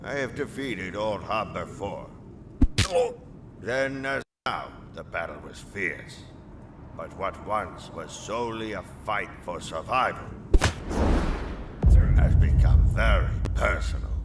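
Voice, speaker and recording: A man's put-on character voice at a fairly slow pace, with long, frequent pauses and clear background noise. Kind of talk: dramatic storytelling narration. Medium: fan dub. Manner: measured, solemn, dignified.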